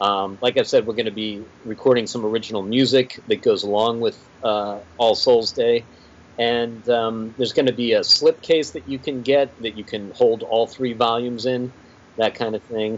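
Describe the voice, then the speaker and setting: Here a man speaks with an American accent in an ordinary speaking voice. His pitch is medium, his intonation fairly even, and his pace moderate. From Pittsburgh, Pennsylvania. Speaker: comic book writer and musician. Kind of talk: casual interview chat.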